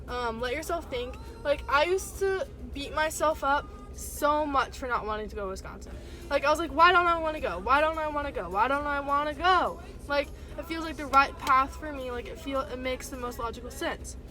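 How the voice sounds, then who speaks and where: Against music in the background, a woman uses a raised, projected voice, high in pitch with lively intonation. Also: fairly quick pace, big swings in loudness. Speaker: vlogger. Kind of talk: casual vlog monologue. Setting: in a car. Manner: fast.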